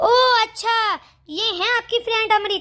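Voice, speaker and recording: A squeaky put-on character voice with fairly even intonation. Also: woman. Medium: cartoon. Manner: cool, probing.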